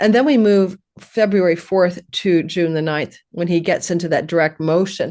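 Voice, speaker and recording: A woman with a normal speaking voice, fairly low in pitch, with fairly even intonation against a quiet background. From Canada. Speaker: astrologer. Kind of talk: interview.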